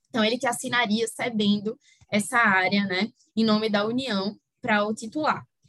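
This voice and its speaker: Here a woman speaks with a fairly high pitch. Her pace is fairly slow. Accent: Recife. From Recife, northeast Brazil. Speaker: energy-sector lawyer. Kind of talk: interview.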